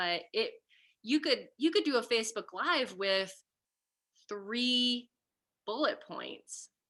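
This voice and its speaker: A woman's voice has a bright, sharp, animated tone and a fairly high pitch with very wide pitch swings. The recording is very clean, with a silent background. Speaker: coach leading a group program. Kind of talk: group coaching call.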